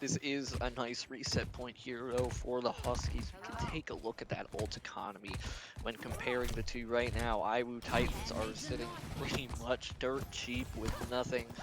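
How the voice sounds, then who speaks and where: A man talks at medium pitch with noticeable background noise behind him. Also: ordinary pitch variation, moderate pace. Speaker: esports caster. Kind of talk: live commentary. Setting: LAN event venue.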